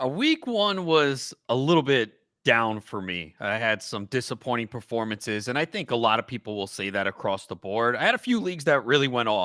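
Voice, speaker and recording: Bright and sharp in tone, a man with a medium pitch and a New York accent speaks at a fairly quick pace with lively intonation and hardly any pauses, in a very clean recording with a silent background and a dry, close sound with no echo. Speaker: fantasy football analyst. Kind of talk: casual chat.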